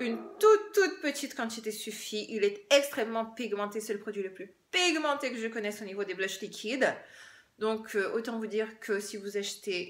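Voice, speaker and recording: A woman speaks fairly slowly and fairly high in pitch, her pitch varying in an ordinary way. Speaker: beauty YouTuber. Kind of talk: makeup product review. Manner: animated.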